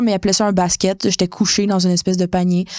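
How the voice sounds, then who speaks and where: At a very fast pace, a woman talks in a Quebec accent. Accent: Québécois French. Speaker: podcast co-host. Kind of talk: casual chat, personal story. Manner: animated.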